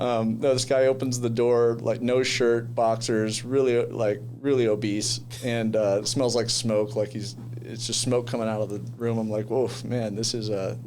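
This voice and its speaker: A man talks at a moderate pace and medium pitch in a monotone, flat intonation. Audible room echo and noticeable background noise surround his voice. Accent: American. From US West Coast, San Diego. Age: 20s. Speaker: commercial real estate agent. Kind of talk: podcast interview. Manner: casual, hesitant with many fillers.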